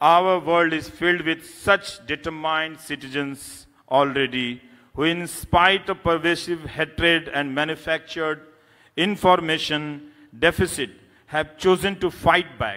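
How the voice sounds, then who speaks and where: A man at a fairly slow pace, fairly even in intonation, against a quiet background. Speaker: award lecturer, journalist. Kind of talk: lecture. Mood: serious, earnest. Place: hall. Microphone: podium.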